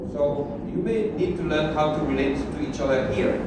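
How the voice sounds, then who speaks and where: Over loud background noise and audible room echo, a man speaks at a moderate pace. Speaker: preacher. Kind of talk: sermon. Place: hall.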